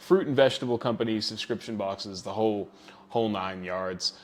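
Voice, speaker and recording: A man's normal speaking voice, fairly low in pitch, at a fairly quick pace, with an American accent. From New Zealand. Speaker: email marketing agency owner. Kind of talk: interview.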